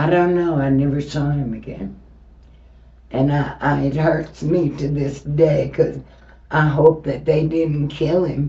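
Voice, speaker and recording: With audible room echo, a woman with an American accent speaks in a very deep, low pitch, with vocal fry and monotone, flat intonation. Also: fairly slow pace. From Texas, Houston. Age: 70s. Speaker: interviewee, host's mother. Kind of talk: interview.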